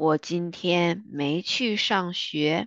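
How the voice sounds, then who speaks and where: Very slow and fairly low in pitch, a woman's voice comes through with a dry, close sound and no echo. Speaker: Chinese language teacher. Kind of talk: language lesson, vocabulary and dialogue reading. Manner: slow, repetitive, clear.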